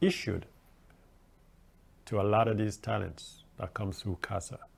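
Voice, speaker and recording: At a moderate pace, a man with a Jamaican accent talks in a fairly low pitch, somewhat breathy. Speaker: guest radio host. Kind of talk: radio talk show monologue. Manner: animated.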